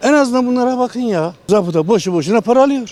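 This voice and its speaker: A man speaks fairly quickly with lively intonation. His tone is dark and mellow. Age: 70s. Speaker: retiree, street interview interviewee. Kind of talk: street interview. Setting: outdoors, street.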